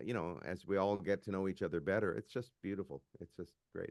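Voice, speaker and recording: A man with a Canadian accent talks at a fairly quick pace. His pitch shows ordinary variation. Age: 60s. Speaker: musician. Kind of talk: casual chat.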